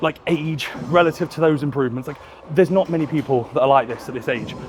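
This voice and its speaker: A man mumbling very fast in a British accent, fairly high in pitch with fairly even intonation, over noticeable background noise. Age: 20s. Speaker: bodybuilder and coach. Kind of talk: casual vlog commentary in the gym. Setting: gym. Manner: mumbles words.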